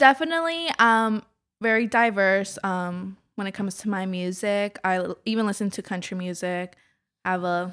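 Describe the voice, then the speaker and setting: A normal speaking voice with lively intonation moves at a moderate pace in a very clean recording with a silent background. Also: woman, medium pitch for a woman. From Kennett Square, Pennsylvania, Mexican family. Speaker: business consultant. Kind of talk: casual interview.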